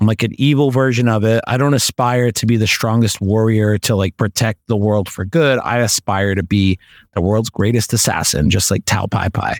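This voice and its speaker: A man speaks in a plain, everyday voice at a fairly low pitch and a moderate pace, with hardly any pauses. His pitch varies in an ordinary way, his loudness stays very even, and the sound is dry and close with no echo. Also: very clean recording, silent background. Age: 30s. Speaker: podcast host. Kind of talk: casual chat.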